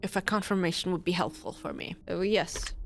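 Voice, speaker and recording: A woman's vocal fry at a fairly quick pace on a very clean recording with a silent background. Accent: non-native. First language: not English. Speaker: streamer. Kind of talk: gaming livestream commentary. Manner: halting, many repetitions and false starts.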